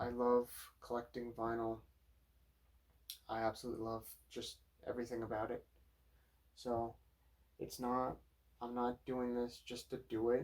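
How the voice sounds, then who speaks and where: The man speaks quietly at a moderate pace, with long, frequent pauses. His medium-pitched voice has monotone, flat intonation. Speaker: vinyl collector YouTuber. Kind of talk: casual record collection review. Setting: home at night. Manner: quiet, low-key.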